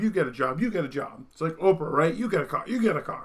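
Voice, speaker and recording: Talking very fast with ordinary pitch variation, a man has a slight Vermont accent. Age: 30s. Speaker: political commentary streamer. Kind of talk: monologue commentary.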